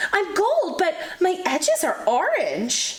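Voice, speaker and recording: This woman uses a put-on character voice with an extremely high pitch. Her pitch swings very widely, and her pace is fairly slow. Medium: read story.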